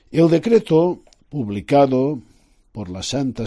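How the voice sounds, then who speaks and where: Very slowly, a man of medium pitch speaks in a dark, mellow tone with very wide pitch swings, over a very clean recording with a silent background. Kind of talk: religious radio talk. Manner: formal.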